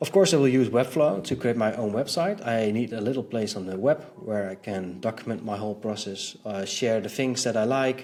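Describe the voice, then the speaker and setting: At a moderate pace, the pitch varies in an ordinary way. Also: man. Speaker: web designer, video creator. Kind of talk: casual vlog status update. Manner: halting, many fillers.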